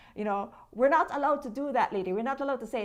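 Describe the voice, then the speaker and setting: A woman with a Jamaican accent at a fairly quick pace, ordinary pitch variation, and a quiet background. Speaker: social media content creator. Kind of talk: interview.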